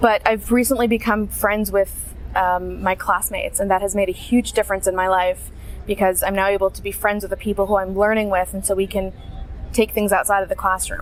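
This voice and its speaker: Over noticeable background noise, a woman with an American accent speaks at a fairly quick pace. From USA. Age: young. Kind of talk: interview answer.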